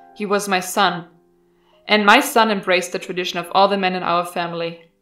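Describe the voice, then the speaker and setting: A woman's fairly even, medium-pitched voice over music in the background. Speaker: horror story narrator. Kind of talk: horror story narration.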